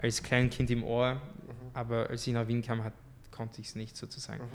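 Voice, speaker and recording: This man speaks at a medium pitch and a fairly quick pace, his intonation monotone and flat. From France, moved to Austria at 13. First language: French (speaking German). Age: young. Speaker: artist. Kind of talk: podcast interview.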